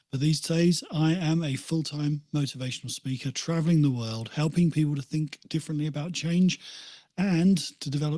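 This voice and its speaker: Over a quiet background, a man speaks in a British accent with a dark, mellow tone. His voice is somewhat breathy and fairly high in pitch, with ordinary pitch variation. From England, Essex coast (Walton on the Naze). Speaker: motivational speaker and author. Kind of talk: podcast interview.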